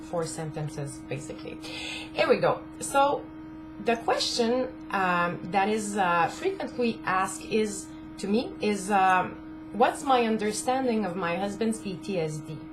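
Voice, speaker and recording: Fairly slow and low-pitched, a woman with a French-Canadian accent speaks with very wide pitch swings while music plays in the background. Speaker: caregiver spouse of a veteran. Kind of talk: casual talk to camera.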